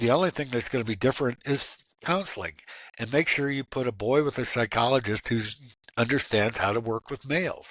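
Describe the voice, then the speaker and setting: Recorded dry and close with no echo against a quiet background, a man with an American accent speaks at a fairly quick pace in a medium pitch with ordinary pitch variation. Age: 60s. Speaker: abuse survivor advocate and minister. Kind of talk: interview. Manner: animated.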